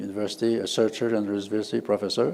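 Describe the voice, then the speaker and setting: A man speaks with a fairly low pitch. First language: French. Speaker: university professor and researcher. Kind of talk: conference presentation. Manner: halting, many fillers.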